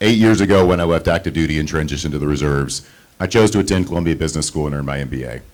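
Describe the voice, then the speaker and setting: A man's very deep, low voice at a very fast pace, with ordinary pitch variation. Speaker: trustee candidate, marine reserve officer. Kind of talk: campaign speech. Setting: candidate forum with audience.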